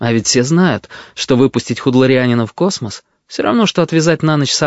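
Someone reads aloud plainly, the pitch varying in an ordinary way. Behind the voice, all is quiet.

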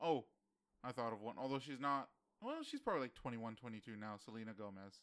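A man talks in a normal speaking voice at a medium pitch and a fairly quick pace. His pitch varies in an ordinary way. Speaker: podcast co-host. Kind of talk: casual banter podcast chat.

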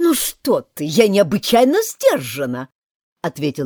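A natural-voiced read-aloud against quiet surroundings

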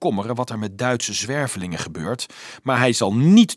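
The text is read aloud plainly. Its intonation moves in a lively way.

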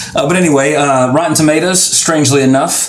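With an American accent, a man speaks at a fairly high pitch with ordinary pitch variation, and noticeable background noise runs underneath. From Louisiana. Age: 30s. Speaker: podcast host. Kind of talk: casual chat. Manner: fast talker; animated.

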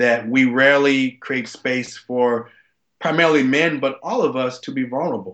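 A man in an American accent, medium pitch, fairly even intonation, moderate pace, an ordinary speaking voice. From US South. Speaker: former football player and advocate. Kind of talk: interview storytelling.

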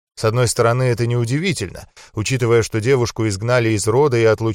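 Fairly even intonation marks this natural reading voice.

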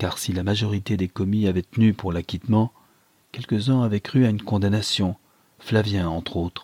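The intonation stays fairly even. The text is read aloud in a natural voice.

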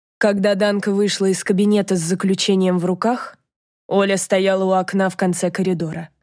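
The background stays quiet. Someone reads aloud in a plain way.

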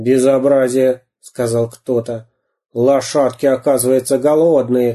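A natural reading voice, fairly even in intonation, over a quiet background

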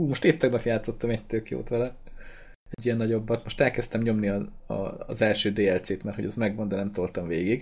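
Fairly quick, fairly low-pitched speech from a man, a plain, everyday voice with ordinary pitch variation. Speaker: gaming podcast host. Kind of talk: casual chat.

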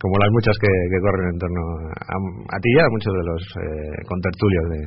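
A man with a low pitch, ordinary pitch variation and a fairly quick pace

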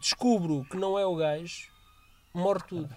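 A man talks at a moderate pace with ordinary pitch variation. Music plays in the background. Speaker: podcast co-host. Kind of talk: casual chat.

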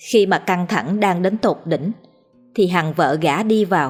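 An unforced reading voice carries this recording.

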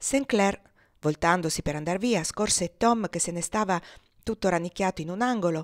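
Simply a natural reading voice

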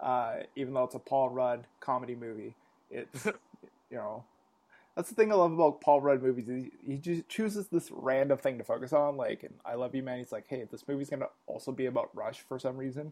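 A man with a plain, everyday voice speaks with a Canadian accent at a fairly quick pace. His medium pitch shows ordinary variation, while his loudness swings widely. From Canada. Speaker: podcast host. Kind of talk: casual chat.

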